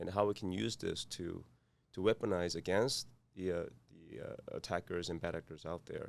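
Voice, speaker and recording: This man has a Korean accent. He talks at a very fast pace. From South Korea. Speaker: cybersecurity executive. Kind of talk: interview. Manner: halting, many fillers.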